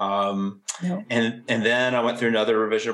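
A man speaks in a normal speaking voice at a moderate pace. His pitch is fairly low, and his intonation stays fairly even. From southwestern Virginia, US. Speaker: crime novelist and writing professor. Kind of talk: interview conversation.

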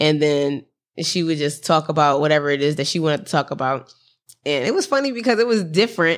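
Animated in tone, a woman with a very deep, low pitch talks at a very fast pace with lively intonation in a very clean recording with a silent background. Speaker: podcast host. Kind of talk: casual chat. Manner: laughs often, animated.

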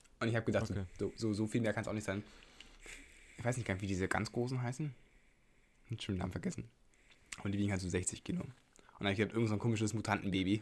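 A man speaks at a very fast pace yet with long, frequent pauses, his fairly low pitch showing ordinary variation. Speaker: podcast host. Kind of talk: casual chat.

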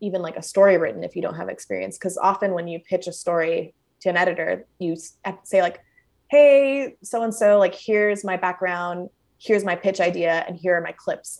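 A woman speaks in a Southern Californian accent with ordinary pitch variation. The background is quiet. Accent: Southern California American. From Los Angeles, California. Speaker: food writer. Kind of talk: casual interview chat. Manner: fast talker, chaotic.

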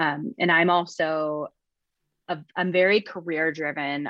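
Delivered fairly slowly in an American accent, the speech shows ordinary pitch variation. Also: woman. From Missouri. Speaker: past bride. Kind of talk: interview.

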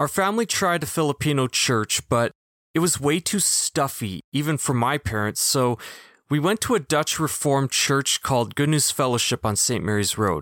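A man's fairly high voice with lively intonation at a moderate pace, dry and close with no echo, on a very clean recording with a silent background. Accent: Manitoban. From Canada, Winnipeg. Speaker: podcast host. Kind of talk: personal testimony monologue.

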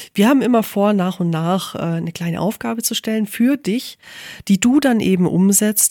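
Female speech, lively in intonation and moderate in pace, sounding dry and close with no echo. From Allgäu, southern Germany. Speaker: photographer, podcast co-host. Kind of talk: casual chat.

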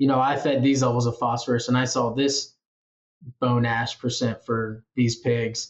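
With a Midwestern American accent, a man speaks at a medium pitch and a moderate pace, his intonation monotone and flat. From Iowa, US Midwest. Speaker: PhD student researcher. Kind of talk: interview.

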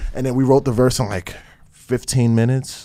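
With a New Jersey accent, a man speaks fairly quickly in a dark, mellow tone. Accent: New Jersey urban. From Newark, New Jersey. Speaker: rapper. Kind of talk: interview.

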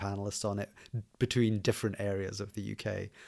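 On a very clean recording with a silent background, a man speaks fairly quickly at a fairly low pitch in a monotone, flat intonation. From Scotland. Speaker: indie software developer and podcaster. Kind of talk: casual interview chat.

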